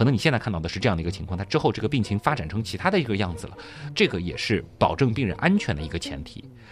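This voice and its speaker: The speech comes very fast, with very wide swings in pitch. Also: man, fairly low pitch for a man. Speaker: podcast host. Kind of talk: explanatory casual chat.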